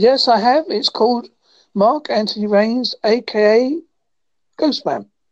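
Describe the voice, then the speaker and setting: Speech comes at a very slow pace with a West Country accent and long, frequent pauses. Loudness stays very even, with ordinary pitch variation. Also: woman, fairly high pitch for a woman. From England, Devon. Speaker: podcaster. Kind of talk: casual chat.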